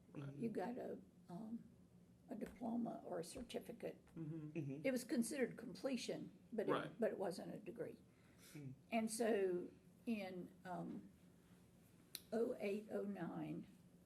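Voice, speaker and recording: A woman with an American accent, a dark, mellow tone and vocal fry, lively intonation, a fairly slow pace and long, frequent pauses. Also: medium pitch for a woman. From Florida, Tampa Bay area. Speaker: nursing instructor and college administrator. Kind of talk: oral history interview answer.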